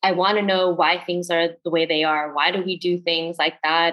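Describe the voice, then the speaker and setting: A woman with an American accent and an ordinary speaking voice, fairly low in pitch, at a moderate pace with fairly even intonation. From northern New Jersey, US. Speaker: coach and healing facilitator. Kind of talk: casual chat.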